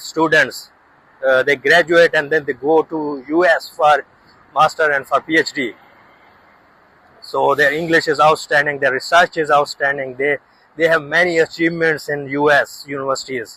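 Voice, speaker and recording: In a bright, sharp tone, a man speaks at a moderate pace and fairly high pitch with monotone, flat intonation and a dry, close sound without echo. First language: not English. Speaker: researcher and YouTuber. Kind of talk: casual vlog monologue. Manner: halting, many fillers.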